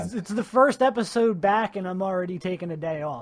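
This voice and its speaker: The intonation is lively, set against noticeable background noise. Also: man. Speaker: podcast host. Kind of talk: casual podcast interview.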